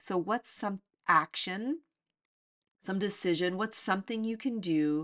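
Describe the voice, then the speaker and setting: Against a quiet background, a woman with a medium pitch and a warm, animated tone shows ordinary pitch variation in a dry, close sound with no echo. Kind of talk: motivational pep talk, direct address to listeners. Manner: urgent, encouraging, emphatic, repeating phrases like 'get out of your way' and 'be open'; warm, animated, laughing, coaching tone.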